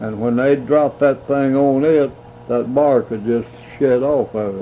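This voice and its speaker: Amid noticeable background noise, a man speaks at medium pitch and a very slow pace. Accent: American. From US South. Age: 80s+. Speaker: elderly man recalling family history. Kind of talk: oral history interview. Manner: halting.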